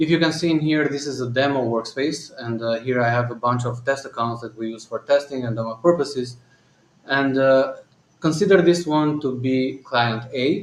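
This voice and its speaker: With a slight non-native accent, a man speaks at medium pitch and a moderate pace, using ordinary pitch variation. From Albania. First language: Albanian. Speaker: company founder and CEO. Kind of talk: live Q&A and software demo. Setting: live stream. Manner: hesitant, many fillers.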